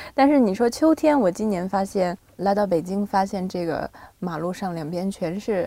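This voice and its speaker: The voice has a dark, mellow tone and lively intonation, delivered at a moderate pace. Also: woman, medium pitch for a woman. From Shandong, China (Binzhou). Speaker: singer-songwriter. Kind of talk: casual interview. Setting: studio.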